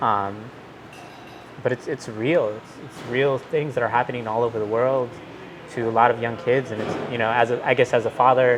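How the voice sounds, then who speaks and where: A man's medium-pitched voice with an American accent, fairly even intonation, and a moderate pace, set against background music. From Milwaukee, Wisconsin. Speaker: technology executive. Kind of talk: interview conversation. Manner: halting, many fillers.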